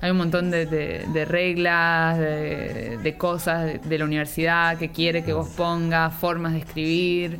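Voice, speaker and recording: A woman speaks at a very slow pace in a fairly low, monotone, flat voice with hardly any pauses. Music plays in the background, and the room has an audible echo. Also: very even loudness. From Argentina, Buenos Aires (Villa Ballester). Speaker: nutrition researcher. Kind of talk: casual chat. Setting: in a pub.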